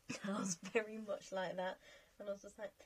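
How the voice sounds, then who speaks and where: A woman's voice amid noticeable background noise. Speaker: gaming youtuber. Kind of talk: casual chat over gameplay.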